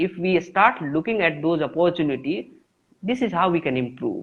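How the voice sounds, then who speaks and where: The speaker has an Indian accent. The pace is fairly quick. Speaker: English teacher. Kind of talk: interview. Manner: halting.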